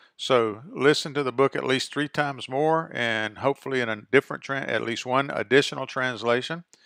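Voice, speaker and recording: A man's medium-pitched voice, bright and sharp in tone, at a moderate pace with ordinary pitch variation, in a very clean recording with a silent background and a dry, close sound with no echo. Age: 60s. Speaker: pastor and professor. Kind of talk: bible study teaching talk. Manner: casual, hesitant with fillers.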